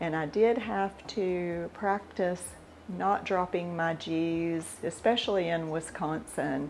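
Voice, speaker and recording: At a very slow pace, the voice carries a relaxed tone and ordinary pitch variation. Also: woman, fairly low pitch for a woman. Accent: American. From US South. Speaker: cooking video host. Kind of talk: casual talk on scripture. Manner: relaxed, with fillers.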